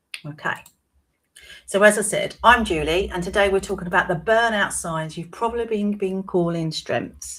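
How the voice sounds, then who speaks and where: A woman talks at a moderate pace with a British accent. Her pitch sits in the medium range. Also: ordinary pitch variation. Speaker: wellbeing coach. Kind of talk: live-stream talk. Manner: conversational.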